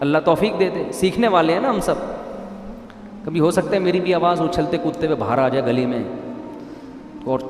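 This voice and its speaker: A man speaks over noticeable background noise. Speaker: Islamic preacher. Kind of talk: religious sermon. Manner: humorous, lively, conversational.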